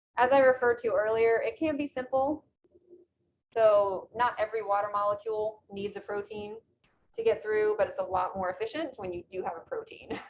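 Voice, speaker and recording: A woman talks in a plain, everyday voice, fairly high in pitch with ordinary pitch variation, at a fairly quick pace with big swings in loudness and light background noise. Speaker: biology instructor; lecturer. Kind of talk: lecture. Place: classroom.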